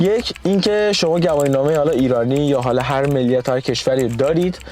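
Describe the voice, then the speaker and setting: A man talks at a very fast pace with fairly high pitch and ordinary pitch variation. His loudness stays very even over noticeable background noise. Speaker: vlogger. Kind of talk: casual vlog talk to camera.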